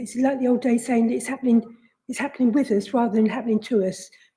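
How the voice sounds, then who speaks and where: A woman in a monotone, flat intonation. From London (Hammersmith and Fulham). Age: 60s. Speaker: resident working group chair. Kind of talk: committee meeting statement. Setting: council committee meeting, livestreamed.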